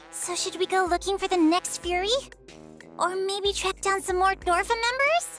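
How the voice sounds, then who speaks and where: An extremely high-pitched put-on character voice at a moderate pace, with clear music in the background. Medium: video game. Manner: casual, chatty.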